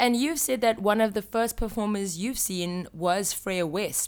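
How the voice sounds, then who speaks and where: A woman's plain, everyday voice at a fairly slow pace, with ordinary pitch variation, in a very clean recording with a silent background. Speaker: podcast host. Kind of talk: podcast interview, scripted intro.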